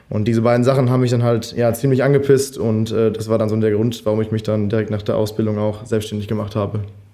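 At a very fast pace with hardly any pauses, the speech comes in a monotone, flat intonation, with noticeable background noise and audible room echo. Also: man, medium pitch for a man. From Germany, Münsterland. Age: 20s. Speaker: freelance filmmaker. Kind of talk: casual chat.

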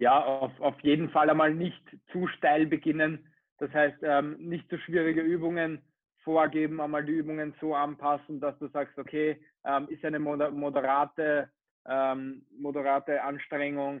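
Flat and monotone, a man speaks at a fairly high pitch and a fairly slow pace. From Austria, Vienna. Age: 20s. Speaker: personal trainer and PE teacher. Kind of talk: casual interview.

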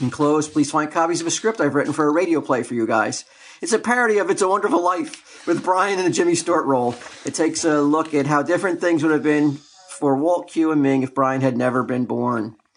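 Over noticeable background noise, a man talks at a very fast pace in a fairly high pitch, with ordinary pitch variation. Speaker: podcast co-host. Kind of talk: casual comedy podcast banter.

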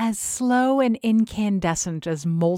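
Text is read out plainly. Nothing more than plain reading aloud.

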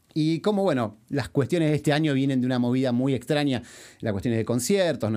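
A man with an Argentine accent talks at a fairly quick pace on a very clean recording with a silent background. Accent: Rioplatense Argentine Spanish. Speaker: podcast host and musician. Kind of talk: interview.

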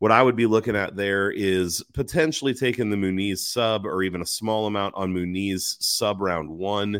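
A man with a normal speaking voice and fairly low pitch talks at a moderate pace in a very clean recording with a silent background. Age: 40s. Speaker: MMA betting commentator. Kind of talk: solo livestream commentary. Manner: casual, many filler words.

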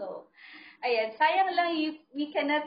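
A woman speaks with a Filipino accent and lively intonation. Her pace is fairly slow. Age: 20s. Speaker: podcast host. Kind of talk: casual chat.

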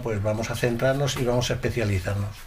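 Fairly quick speech from a man amid noticeable background noise and audible room echo. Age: 50s. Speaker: cuckoo clock maker. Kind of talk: interview. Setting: workshop.

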